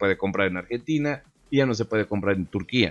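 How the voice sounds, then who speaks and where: Over a quiet background, a man with a Mexican accent speaks at a very fast pace in an animated tone, with ordinary pitch variation. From Mexico. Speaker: gaming YouTuber; gaming youtuber. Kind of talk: casual video commentary. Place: home room. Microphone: studio mic.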